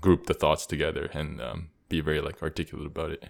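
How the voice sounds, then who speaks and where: The recording is very clean with a silent background as a man speaks at a fairly quick pace. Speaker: podcast host. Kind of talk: casual chat.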